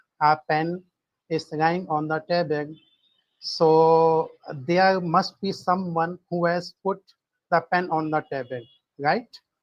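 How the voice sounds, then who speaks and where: At a very slow pace, a man talks in a high pitch with fairly even intonation. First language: not English. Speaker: participant in a religion debate. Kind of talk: live online debate. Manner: halting, many filler sounds.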